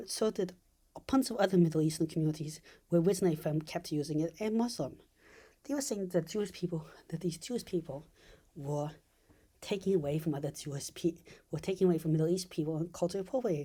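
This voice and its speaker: A woman's dark, mellow, somewhat breathy voice, fairly low in pitch, with lively intonation, a very fast pace, and long, frequent pauses. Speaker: video essayist. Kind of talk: casual commentary monologue. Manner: halting; less energetic than usual.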